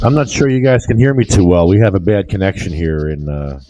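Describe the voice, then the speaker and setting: A man with a very deep, low pitch talks at a fairly quick pace, his pitch swinging very widely, over noticeable background noise. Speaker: remote guest on a talk show. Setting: remote call, bad connection.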